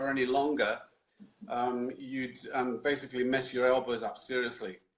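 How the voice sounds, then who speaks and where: At a moderate pace, a man speaks with a British accent and a medium pitch. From London, England. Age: 60s. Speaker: Indian club swinging instructor. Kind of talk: interview answer.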